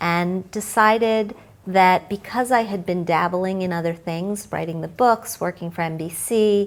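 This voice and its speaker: This woman has a normal speaking voice and talks at a fairly slow pace with fairly even intonation. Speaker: financial journalist. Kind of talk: interview answer.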